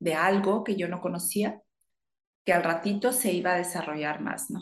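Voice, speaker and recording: With an ordinary speaking voice, this woman keeps a medium pitch, ordinary pitch variation and a moderate pace. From northern Mexico, Chihuahua. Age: 50s. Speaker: yoga teacher. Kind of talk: interview.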